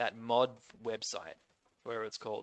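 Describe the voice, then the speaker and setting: Bright and sharp in tone, a man speaks with an Australian accent. His pitch is medium and his pace moderate. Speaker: gaming youtuber. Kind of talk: casual gaming commentary. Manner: casual, hesitant with fillers.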